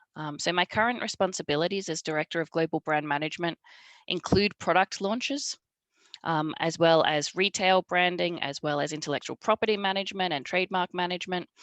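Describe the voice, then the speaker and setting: At a fairly quick pace, a woman with an Australian accent speaks in a fairly low pitch with ordinary pitch variation, the sound dry and close with no echo over a quiet background. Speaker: marketing director at a truck maker. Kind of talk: panel presentation.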